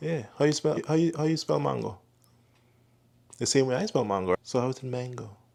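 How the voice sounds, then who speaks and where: A man with a Grenadian accent talks at a fairly quick pace with lively intonation and medium pitch, broken by long, frequent pauses. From Grenada. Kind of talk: casual talk to camera.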